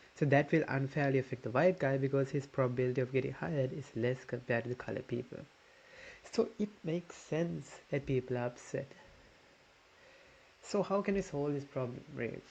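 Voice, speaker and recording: At a fairly quick pace, this man talks with a somewhat breathy, medium-pitched voice and ordinary pitch variation. Long, frequent pauses break up his speech. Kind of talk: casual commentary reacting to videos.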